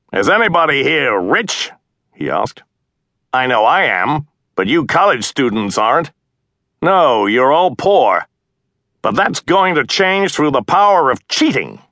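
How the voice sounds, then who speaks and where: A man's fairly high, bright and sharp voice with vocal fry and very wide pitch swings, at a fairly slow pace with long, frequent pauses, in a dry, close sound with no echo and a quiet background. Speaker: audiobook narrator. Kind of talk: audiobook narration, reading aloud.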